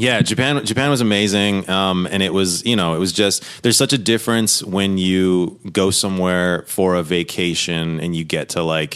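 A man with an American accent speaks in a very deep, low pitch at a moderate pace. He uses ordinary pitch variation and hardly any pauses. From Southern California. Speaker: comedic actor. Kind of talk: casual chat.

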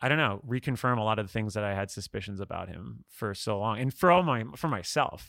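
With vocal fry and lively intonation, a man speaks at a fairly low pitch in a fairly bright tone. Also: fairly quick pace.

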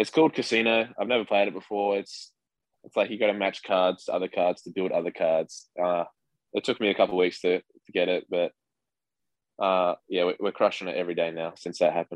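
A man's fairly quick speech in an Australian accent, dry and close with no echo, against a quiet background. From Western Australia. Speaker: minor league baseball catcher. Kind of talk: interview. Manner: casual.

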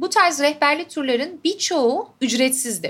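Her pitch high, a woman talks at a moderate pace. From Istanbul, Turkey. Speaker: podcast host. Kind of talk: travel diary monologue. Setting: hotel room.

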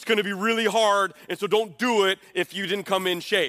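A man projects his raised voice at a high pitch with a bright, sharp tone. He keeps a moderate pace, and the sound is dry and close with no echo. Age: 40s. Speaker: pastor and podcast host. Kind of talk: sermon. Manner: animated.

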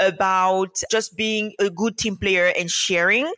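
Recorded with a dry, close sound and no echo, a woman at a medium pitch speaks in an animated way with a bright, sharp tone. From Cameroon. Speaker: medical doctor and remote work teacher. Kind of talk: interview.

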